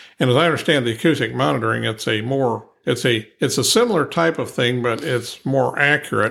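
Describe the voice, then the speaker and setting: With an American accent, a man speaks at a medium pitch with vocal fry. He barely pauses at all. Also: ordinary pitch variation, fairly quick pace. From Ohio. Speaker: structural engineer. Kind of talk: interview. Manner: halting.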